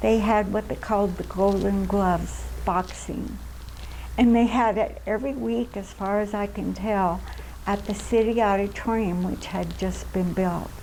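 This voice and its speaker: With an American accent, a woman speaks at a fairly slow pace. Room echo is audible. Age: 80s+. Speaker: oral history interviewee. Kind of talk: oral history interview. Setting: recreation center.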